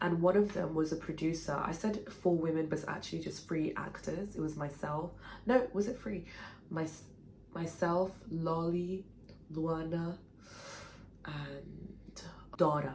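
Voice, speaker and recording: A woman with a fairly low pitch and a somewhat breathy voice speaks at a fairly slow pace with long, frequent pauses and ordinary pitch variation, and the room echo is audible. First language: Portuguese. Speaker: writer and former actor. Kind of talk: personal storytelling vlog.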